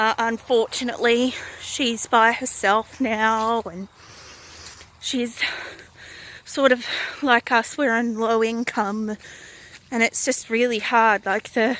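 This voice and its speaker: In an Australian accent, a woman speaks at a very slow pace and fairly high pitch, monotone and flat, with long, frequent pauses. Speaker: vlogger. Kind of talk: casual vlog monologue. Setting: outdoors, walking. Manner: loud.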